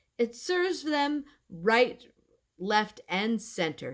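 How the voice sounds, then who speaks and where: A woman performs a put-on character voice at a fairly high pitch. She speaks at a very slow pace. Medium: read story.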